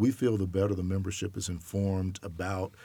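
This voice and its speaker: In a dark, mellow tone, a man with a very deep, low pitch speaks monotone and flat at a fairly quick pace on a very clean recording with a silent background. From US South, Alabama. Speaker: college sports enforcement director. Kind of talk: interview.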